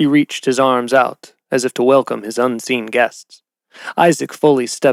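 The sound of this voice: Against a quiet background comes an unforced reading voice with fairly even intonation.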